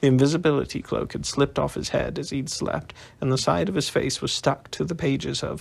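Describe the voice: The delivery is plain reading aloud, with fairly even intonation.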